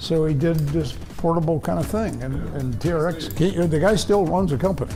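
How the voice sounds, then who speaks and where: Music plays in the background as a man speaks at a moderate pace. His pitch is fairly high, with ordinary pitch variation. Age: 70s. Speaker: businessman. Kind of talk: interview answer.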